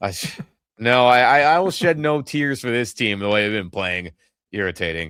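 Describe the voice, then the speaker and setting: A man speaks in an animated tone at a moderate pace and medium pitch, with very wide pitch swings. The recording is very clean, with a silent background. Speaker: sports podcast host. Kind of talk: casual chat.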